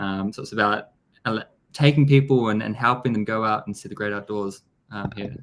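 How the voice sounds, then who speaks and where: A man with a strong New Zealand accent talks at a fairly quick pace and a fairly low pitch. His pitch varies in an ordinary way while his loudness swings a lot. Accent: thick New Zealand. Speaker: business development executive. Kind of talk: interview.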